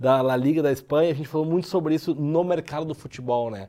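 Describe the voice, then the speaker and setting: At a fairly quick pace, a man with a dark, mellow tone speaks at a fairly high pitch with ordinary pitch variation. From southern Brazil, Porto Alegre. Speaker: podcast host, public relations entrepreneur. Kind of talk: casual interview podcast.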